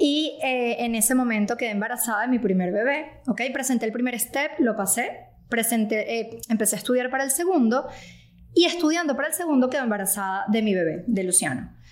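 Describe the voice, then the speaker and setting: This woman has a high-pitched voice with lively intonation. Her pace is fairly quick. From Venezuela. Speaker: physician (ENT doctor). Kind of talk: casual chat.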